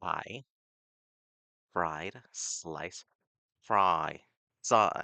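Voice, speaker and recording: A man puts on a character voice. It is raspy and very deep, with a low pitch. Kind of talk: accent drill exercises. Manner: repetitive, drilled.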